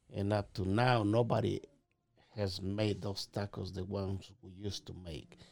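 The man's fairly low voice carries a Mexican accent, staying monotone with flat intonation while his loudness swings a lot. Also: moderate pace. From Mexico (Puebla). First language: Spanish. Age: 50s. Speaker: restaurant owner. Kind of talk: casual interview.

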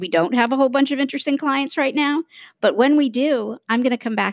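A woman talks at a very fast pace in a high-pitched voice. The sound is dry and close with no echo, on a very clean recording with a silent background. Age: 50s. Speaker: author and communications entrepreneur. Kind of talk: interview conversation. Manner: halting, many repeated words and fillers.

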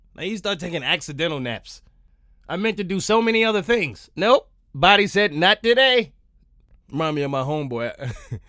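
A man speaks in an animated, bright and sharp tone at a fairly quick pace. His pitch is high for a man and swings very widely. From New York. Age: 30s. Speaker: podcast host. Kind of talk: comedic monologue.

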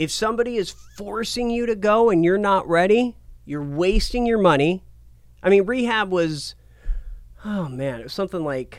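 Here is a man with an American accent. His pitch is high and his intonation lively. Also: moderate pace. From Portland, Oregon. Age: 30s. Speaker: TV and radio personality. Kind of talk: casual interview.

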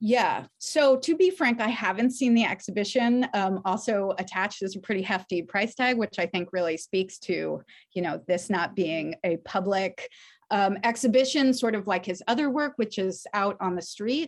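In a quiet background, a woman talks at a moderate pace in a normal speaking voice, her medium pitch moving with ordinary variation. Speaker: arts funder and curator. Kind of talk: panel discussion interview.

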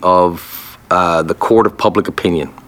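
The speaker has a Newfoundland accent. Noticeable background noise runs behind the voice. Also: man. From Newfoundland, Canada. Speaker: military veteran and podcast host. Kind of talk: testimony.

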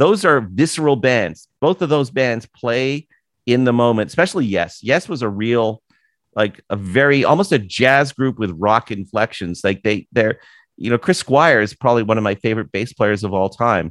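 With a Canadian accent, a man speaks in an unremarkable speaking voice at a medium pitch and a moderate pace, his intonation lively. The sound is dry and close with no echo, over a quiet background. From Canada, Toronto area. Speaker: author and podcast host. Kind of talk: casual interview chat. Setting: video call.

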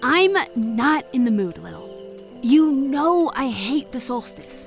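Over faint music in the background, a woman puts on a character voice, high-pitched and slow, with big pitch swings.

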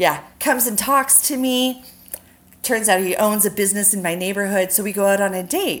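A woman speaks with a normal speaking voice at a medium pitch. Her pace is moderate and her pitch variation ordinary. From US West Coast. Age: 40s. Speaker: makeup artist. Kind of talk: casual chat.

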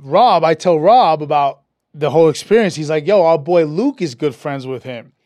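Over a quiet background, a man with a New York accent speaks at a fairly high pitch in a dark, mellow tone. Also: ordinary pitch variation, moderate pace. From New York City (Brooklyn/Queens). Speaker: actor and producer. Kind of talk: casual chat. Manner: animated, repetitive stammering starts.

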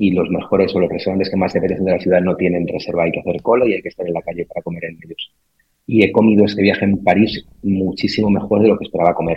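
A man speaks at a very fast pace in a very deep, low pitch. His intonation is monotone and flat. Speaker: brand strategy executive, former journalist. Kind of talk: casual interview chat.

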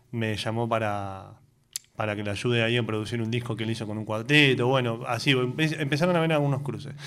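Audible room echo surrounds a man speaking at a moderate pace. His pitch is medium, with ordinary variation. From Argentina, Tierra del Fuego and Neuquén. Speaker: folk guitarist and songwriter. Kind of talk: radio interview.

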